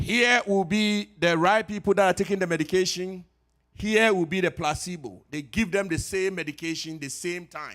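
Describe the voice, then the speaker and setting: A man with a Ghanaian accent and a high pitch, at a moderate pace with ordinary pitch variation, on a very clean recording with a silent background. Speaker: pharmacist. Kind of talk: health talk at church. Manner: conversational.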